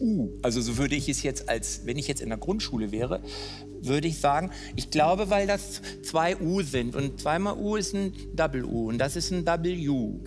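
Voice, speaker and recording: There is music in the background. A man speaks at a fairly slow pace. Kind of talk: unscripted game show talk, thinking aloud. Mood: hesitant, playful, joking. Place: studio. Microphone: headset.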